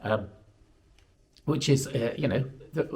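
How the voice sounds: A croaky man's voice with a slightly mellow tone moves at a moderate pace.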